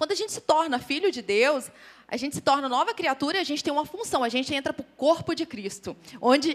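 Big swings in loudness and very wide pitch swings mark a woman's high-pitched voice at a fairly quick pace. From interior of Goiás, Brazil. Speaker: lay preacher speaking with her husband. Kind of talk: sermon.

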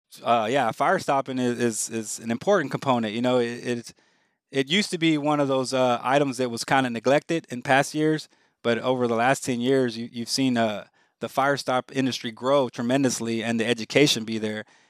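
A man with an American accent speaks at a medium pitch and a fairly quick pace, his intonation fairly even, in a dry, close recording with no echo. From Houston, Texas. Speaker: hospital facilities director. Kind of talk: interview. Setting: video call. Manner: hesitant, many fillers.

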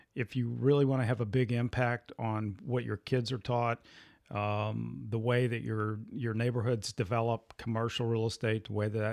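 Heard on a very clean recording with a silent background and a dry, close sound with no echo, a man uses a plain, everyday voice at medium pitch, a moderate pace, and fairly even intonation. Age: 60s. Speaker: podcast host. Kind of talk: casual chat.

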